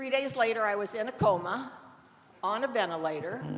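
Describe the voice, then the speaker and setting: A woman with an American accent speaks at a moderate pace and a fairly high pitch, with lively intonation. Audible room echo and noticeable background noise fill the recording. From US Midwest (southern Indiana). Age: 70s. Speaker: cannabis dispensary nurse. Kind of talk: storytelling talk to an audience.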